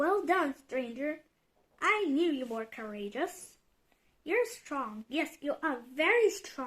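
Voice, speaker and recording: A woman puts on a high-pitched character voice. She talks at a fairly slow pace. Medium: read story.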